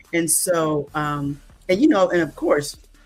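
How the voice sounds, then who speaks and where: A woman's voice with very wide pitch swings comes through noticeable background noise. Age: 60s. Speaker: event planner, church member. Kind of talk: interview.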